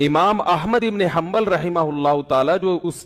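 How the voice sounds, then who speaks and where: Ordinary pitch variation in a high-pitched male voice. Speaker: Islamic scholar / mufti giving a sermon. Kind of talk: Islamic sermon (bayan).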